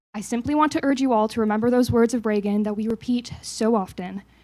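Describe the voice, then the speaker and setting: A woman talks at a moderate pace, her fairly high pitch showing ordinary variation. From Canada (Toronto). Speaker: think tank staff member. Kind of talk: staff meeting remarks.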